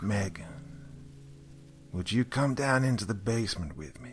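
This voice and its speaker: Clear background noise sits behind a man using a put-on character voice. He speaks at a moderate pace and a medium pitch. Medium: audio drama. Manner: calm, menacing.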